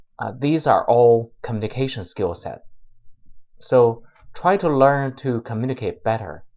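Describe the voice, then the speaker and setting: Speaking with a non-native accent, the man has a medium pitch. His pace is fairly slow. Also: ordinary pitch variation. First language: not English. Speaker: YouTuber, software developer giving career advice. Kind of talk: vlog tutorial monologue. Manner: halting, many filler uhs and repetitions.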